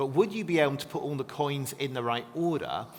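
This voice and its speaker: A man speaks over noticeable background noise. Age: 40s. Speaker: biblical scholar. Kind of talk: interview. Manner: fast.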